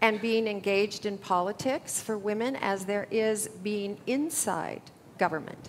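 A woman's fairly high voice with an American accent, fairly slow and with ordinary pitch variation, over light background noise. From United States. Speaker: environmental policy advocate; panelist. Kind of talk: panel discussion. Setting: conference stage with audience. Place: hall. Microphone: headset.

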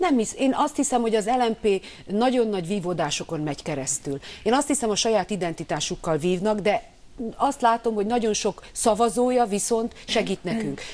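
Here a woman speaks at a moderate pace. Her pitch is fairly high and her intonation lively. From Hungary. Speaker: opposition politician. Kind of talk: TV news interview. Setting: studio. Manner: animated. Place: studio.

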